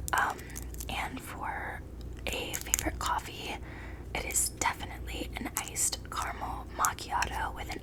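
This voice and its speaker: A woman whispers while noticeable background noise runs underneath. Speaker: ASMR creator. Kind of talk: ASMR Q&A talking to camera. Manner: whispered, soft-spoken.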